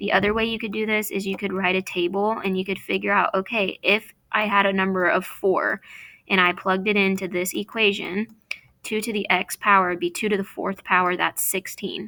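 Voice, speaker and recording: A woman of medium pitch speaks at a fairly quick pace in a bright, sharp tone with monotone, flat intonation, on a very clean recording with a silent background. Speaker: math teacher. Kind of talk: tutorial. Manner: fast.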